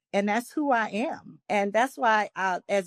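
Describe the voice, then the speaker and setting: A woman speaks with a New Orleans accent. The background is quiet. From New Orleans, US South. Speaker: nurse practitioner and wellness coach. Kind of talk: podcast interview.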